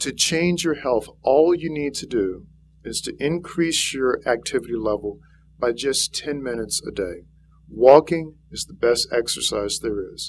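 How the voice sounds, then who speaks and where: A man with a slight Louisiana accent speaks at a fairly slow pace in a fairly high pitch. His intonation is lively, with big swings in loudness. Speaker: physician and health speaker. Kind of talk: public speech.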